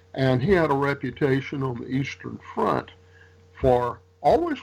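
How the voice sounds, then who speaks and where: A man with an American accent, a normal speaking voice, medium pitch, ordinary pitch variation and a fairly slow pace. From Louisiana, US South. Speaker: military historian and author. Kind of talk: interview.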